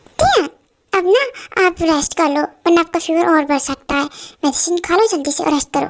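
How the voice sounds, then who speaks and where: A woman puts on a character voice and speaks at a fairly quick pace. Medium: audio drama. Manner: warm, insistent.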